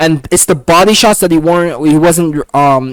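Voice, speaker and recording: Against clearly audible background noise, a man's pitch moves in an ordinary way. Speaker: MMA commentator youtuber. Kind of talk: casual fight breakdown. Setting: home at keyboard watching fights. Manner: fast; casual, filler-heavy.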